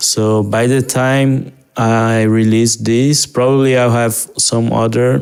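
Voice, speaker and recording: A man speaks in a Portuguese accent. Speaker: digital artist. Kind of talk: casual walkthrough narration. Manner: halting, with repetitions and fillers.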